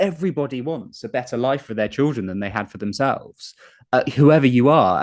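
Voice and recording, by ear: A man talks at a fairly quick pace. His tone is slightly mellow, with ordinary pitch variation.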